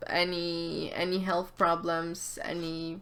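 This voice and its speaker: A woman is talking. Her pace is very slow. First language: not English. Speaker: tarot card reader. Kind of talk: casual tarot reading to camera.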